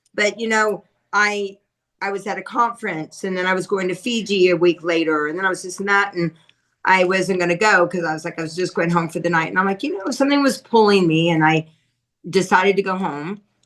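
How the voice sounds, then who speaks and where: A woman speaks at a fairly quick pace in an ordinary speaking voice, medium in pitch, with ordinary pitch variation. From US South, Asheville, North Carolina. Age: 50s. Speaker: podcast host. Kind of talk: casual chat.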